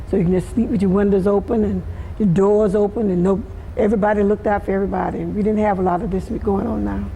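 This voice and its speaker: In a Southern US accent, a woman talks at a very fast pace with a medium pitch and a monotone, flat intonation. Noticeable background noise and audible room echo are present. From US South, Florida. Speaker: community elder. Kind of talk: oral history interview.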